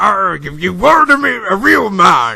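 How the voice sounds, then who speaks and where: In a put-on character voice, a man speaks at a high pitch with very wide pitch swings. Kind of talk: pirate speech. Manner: jokey, theatrical.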